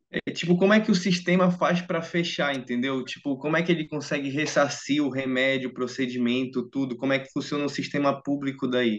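Speaking at a fairly quick pace with hardly any pauses, a man with a Brazilian accent uses a fairly high pitch and ordinary pitch variation. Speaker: medical student. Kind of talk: interview.

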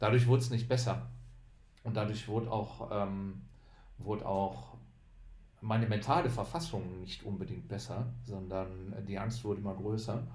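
With a fairly low pitch, vocal fry and ordinary pitch variation, a man talks at a moderate pace, leaving long, frequent pauses, as audible room echo surrounds him. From Düsseldorf, western Germany. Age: 30s. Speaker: bald podcast guest. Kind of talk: casual chat.

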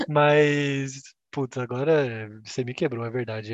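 A man speaks with an ordinary speaking voice at a medium pitch and ordinary pitch variation. The sound is dry and close, with no echo. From Brazil, Campinas (São Paulo state). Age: 20s. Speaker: customer experience coordinator, podcast co-host. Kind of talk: casual chat.

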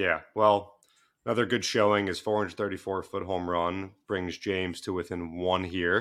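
Speaking at a fairly slow pace, a man delivers his very deep, low voice in a monotone, flat intonation. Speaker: podcast producer. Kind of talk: casual chat. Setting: remote call.

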